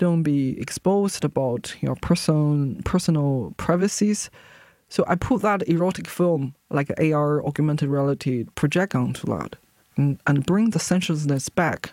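In a very clean recording with a silent background, a woman with a Chinese accent speaks at a moderate pace in a dark, mellow tone with a very deep, low pitch and lively intonation. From China. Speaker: visual artist. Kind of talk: interview. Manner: halting.

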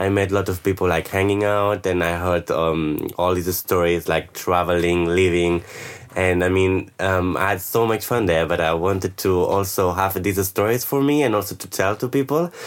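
A man with a Spanish accent speaks in a very deep, low pitch. His pace is moderate and his intonation fairly even, with noticeable background noise. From Spain, Barcelona. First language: Spanish or Catalan. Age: 20s. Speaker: backpacker. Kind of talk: interview. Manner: halting.

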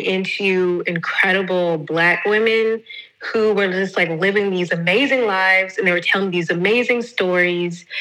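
Fairly slow female speech at a medium pitch, ordinary in its pitch variation, over noticeable background noise. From US South. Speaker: podcast host. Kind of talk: casual chat. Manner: animated.

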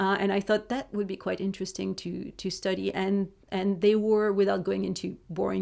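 Woman with a French accent at a moderate pace, on a very clean recording with a silent background. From France. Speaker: criminology lecturer. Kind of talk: interview.

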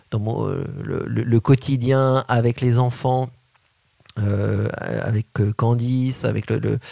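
Pausing long and often, a man talks at medium pitch with a dark, mellow tone and fairly even intonation. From France, Paris. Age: 40s. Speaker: Montessori educator and school founder. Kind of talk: interview. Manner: halting.

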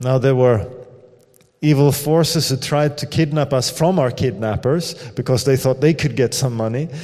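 A man with a Swedish accent, a fairly high pitch and ordinary pitch variation. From Sweden. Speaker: missionary pastor. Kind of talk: sermon. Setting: church.

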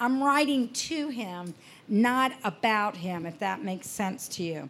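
Lively intonation marks this woman's speech. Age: 60s. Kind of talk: workshop talk. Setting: festival workshop with audience. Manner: conversational.

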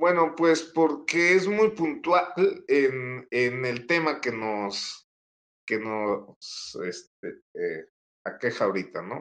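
Very wide pitch swings from a man at a very slow pace. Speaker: author and researcher. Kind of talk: interview answers. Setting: live video stream.

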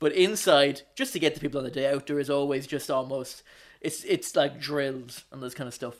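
A man with an Irish accent talks at a fairly quick pace in a fairly high pitch. His intonation stays fairly even. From Ireland, County Wicklow. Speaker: podcast co-host. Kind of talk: casual chat. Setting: remote call.

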